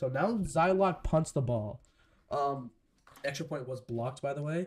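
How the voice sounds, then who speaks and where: A man speaks with lively intonation and a fairly high pitch. His voice sounds somewhat breathy. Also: moderate pace. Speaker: live-stream sports commentator. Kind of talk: live commentary. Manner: casual.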